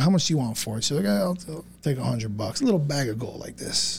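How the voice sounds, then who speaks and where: A man speaks very fast with an American accent. His voice is somewhat breathy, with very wide pitch swings. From South Florida. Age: 40s. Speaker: business owner. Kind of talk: casual chat.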